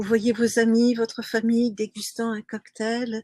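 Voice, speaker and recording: Somewhat breathy, a woman speaks at a fairly high pitch in a dry, close sound with no echo. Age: 60s. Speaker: sailing coach. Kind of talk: webinar presentation. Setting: live stream.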